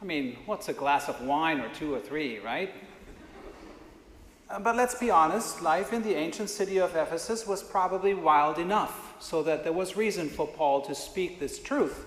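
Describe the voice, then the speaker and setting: Over noticeable background noise and audible room echo, a man with a non-native accent speaks at a moderate pace, his high pitch carried by lively intonation. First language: not English. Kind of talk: sermon. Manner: conversational.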